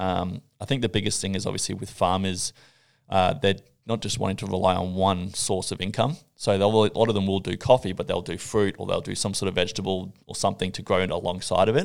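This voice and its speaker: In an Australian accent, a man with a fairly low voice talks very fast with fairly even intonation. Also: very clean recording, silent background. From Australia, Gold Coast. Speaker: coffee judge. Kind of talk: casual chat.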